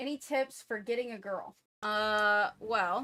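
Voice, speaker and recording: A woman's fairly high, bright, sharp voice with an American accent and ordinary pitch variation, in a very clean recording with a silent background. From US, Florida. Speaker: gaming streamer. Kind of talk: livestream chat.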